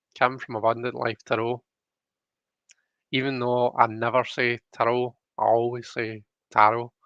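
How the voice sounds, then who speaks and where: A man in a Scottish accent, medium-pitched and monotone with flat intonation, at a moderate pace with long, frequent pauses over a quiet background. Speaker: tarot card reader streamer. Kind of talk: casual live-stream chat. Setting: live stream. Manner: hesitant, many fillers.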